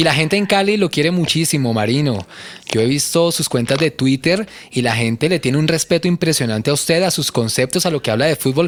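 Lively in intonation, a man with an ordinary speaking voice speaks at a fairly quick pace with a fairly high pitch and very even loudness. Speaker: radio host. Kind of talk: casual chat.

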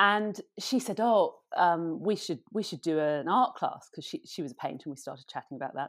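Her pitch medium, a woman speaks with very wide pitch swings. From London suburbs, England. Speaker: painter. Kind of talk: casual interview chat.

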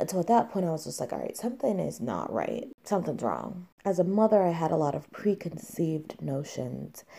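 A woman with a dark, mellow tone and vocal fry speaks fairly quickly at a fairly low pitch, her pitch swinging very widely. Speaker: mother sharing her illness story. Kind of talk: personal testimony.

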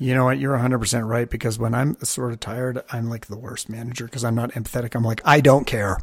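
A man speaks at a very fast pace with hardly any pauses. His voice is somewhat breathy. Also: medium pitch for a man, fairly even intonation. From Canada. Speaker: podcast host. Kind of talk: casual interview chat.

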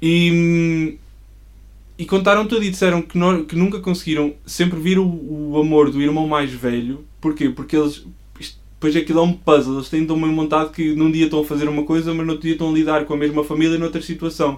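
Here a man talks fairly quickly at a fairly high pitch, in a normal speaking voice. His intonation stays fairly even. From Portugal, Coimbra. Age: 20s. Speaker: church member and designer. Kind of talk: casual interview chat.

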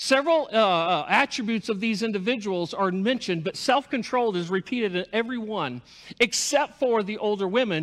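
Lively in intonation, a man talks at a fairly quick pace with a high pitch. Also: very clean recording, silent background. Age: 50s. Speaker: pastor. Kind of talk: sermon.

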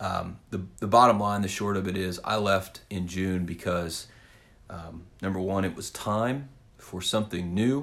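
With a Midwestern American accent, a man speaks at a fairly slow pace in a very deep, low pitch with ordinary pitch variation. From Kansas (south central, small town). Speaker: podcast host, former teacher turned real estate agent. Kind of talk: solo podcast monologue. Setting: home office. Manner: casual with frequent fillers (um, kinda).

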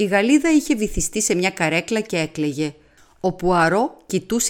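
A passage is being read aloud. It comes across in a natural voice.

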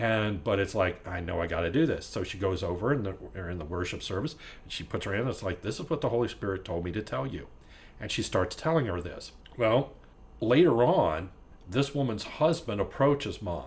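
A somewhat breathy man speaks at a fairly quick pace, his fairly low pitch making very wide swings. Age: 50s. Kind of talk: casual chat.

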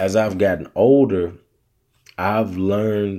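A man speaks very slowly in a Southern US accent, with a fairly low pitch and a dark, mellow tone. His intonation stays fairly even. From US South. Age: 30s. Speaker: podcast host. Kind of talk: casual solo podcast monologue.

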